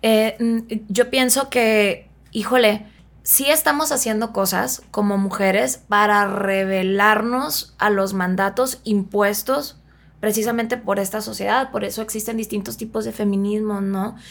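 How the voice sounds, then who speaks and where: Here a woman speaks with a fairly high pitch. Her pitch variation is ordinary. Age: 30s. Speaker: psychotherapist. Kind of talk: casual chat.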